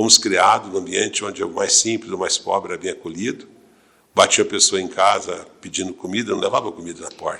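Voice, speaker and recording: This man speaks fairly quickly. The volume of his voice rises and falls a great deal. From Brazil, Franca (São Paulo state). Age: 60s. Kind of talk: interview.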